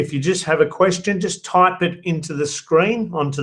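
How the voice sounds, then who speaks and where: A man's pitch varies in an ordinary way as he speaks at a medium rate. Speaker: dating coach. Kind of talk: webinar presentation. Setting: live online webinar. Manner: animated.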